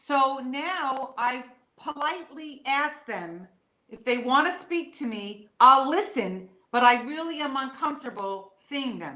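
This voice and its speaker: Speaking at a fairly slow pace, a woman uses a raised, projected voice at a high pitch with lively intonation and big swings in loudness. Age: 60s. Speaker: medium. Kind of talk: interview.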